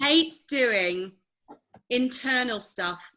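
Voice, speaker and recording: This is a woman with a Nottingham accent. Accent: regional Nottingham. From Nottingham, England. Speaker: actress and voiceover artist. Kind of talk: interview. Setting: podcast.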